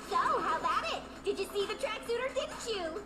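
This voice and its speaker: A put-on character voice, squeaky and extremely high in pitch, moves at a fairly quick pace. Loud background noise fills the clip. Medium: fan dub. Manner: excitable.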